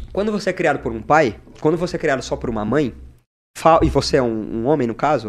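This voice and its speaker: A man talks in an animated tone with lively intonation. His pitch is fairly high, with vocal fry. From Paraná, Brazil (Mandaguaçu, near Maringá). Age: 20s. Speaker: social media content creator. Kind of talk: casual podcast interview. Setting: studio.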